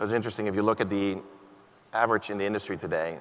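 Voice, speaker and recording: Speaking with a Dutch accent, a man keeps a fairly low pitch and fairly even intonation. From Netherlands. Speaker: panel moderator. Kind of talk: keynote panel discussion. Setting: stage with audience.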